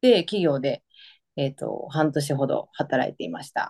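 With an Osaka accent, a woman speaks in a very deep, low pitch and a dark, mellow tone, recorded dry and close with no echo against a quiet background. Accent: Kansai (Osaka). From Osaka, Japan. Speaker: nurse, guest. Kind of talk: interview, casual conversational. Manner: laughs often, chatty.

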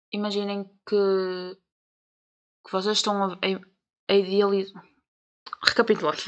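A woman speaks with a European Portuguese accent at a medium pitch. Her intonation is monotone and flat, broken by long, frequent pauses. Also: fairly slow pace. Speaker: podcast host. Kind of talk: casual monologue.

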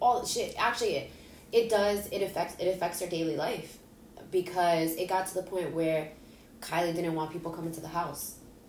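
A woman at a fairly quick pace, intonation fairly even, with audible room echo. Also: fairly low pitch for a woman. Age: 30s. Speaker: podcast guest. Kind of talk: casual chat.

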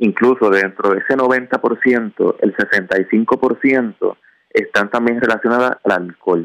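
Dry and close with no echo, a man's medium-pitched voice moves at a very slow pace with ordinary pitch variation and very even loudness. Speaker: traffic safety commission official. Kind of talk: radio interview.

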